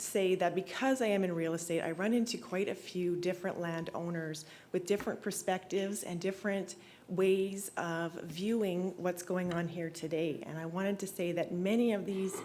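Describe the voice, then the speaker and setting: Nervous and shaky, a woman with an Albertan accent speaks at a medium pitch and moderate pace with fairly even intonation amid audible room echo. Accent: Canadian (Alberta). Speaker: real estate agent speaking at public hearing. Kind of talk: public hearing statement. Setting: council chamber, public hearing. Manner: shaky, nervous.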